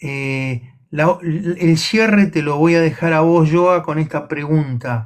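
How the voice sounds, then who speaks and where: A man speaks at a very slow pace with fairly high pitch and ordinary pitch variation. He has a Rioplatense accent. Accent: Argentine Rioplatense Spanish. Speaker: livestream co-host. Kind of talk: casual chat. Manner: halting, repetitive.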